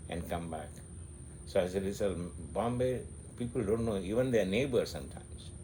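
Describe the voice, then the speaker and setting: Somewhat breathy, a man speaks with ordinary pitch variation and audible room echo. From India, Mangalore. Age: 60s. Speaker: interviewee sharing memories. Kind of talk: casual interview, reminiscing. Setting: at home. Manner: halting, many fillers and repeats.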